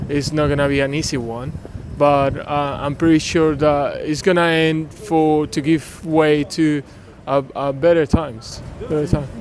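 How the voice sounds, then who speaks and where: The speaker has a Venezuelan accent and fairly even intonation, with noticeable background noise. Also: man. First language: Spanish. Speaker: passer-by interviewee. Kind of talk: street interview. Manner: hesitant, many filler sounds.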